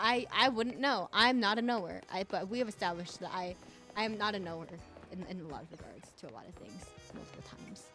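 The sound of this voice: Over background music, a woman puts on a breathy character voice at a medium pitch. She talks very fast with ordinary pitch variation.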